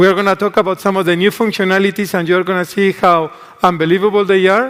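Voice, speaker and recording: A man talks very fast at a high pitch in a strong Spanish accent. His intonation is monotone and flat. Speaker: tech executive. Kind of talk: keynote stage conversation. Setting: stage with audience.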